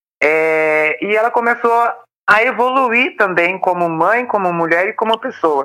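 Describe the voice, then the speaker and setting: A woman's pitch sits in the medium range. She talks at a moderate pace. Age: 30s. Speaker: volunteer, recovering addict. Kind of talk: interview testimony.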